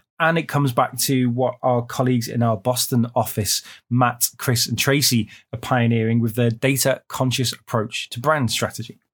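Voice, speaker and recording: A man with a British accent, medium-pitched and somewhat breathy, in a monotone, flat intonation, on a very clean recording with a silent background. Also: moderate pace. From UK. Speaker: marketing podcast host. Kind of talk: casual chat.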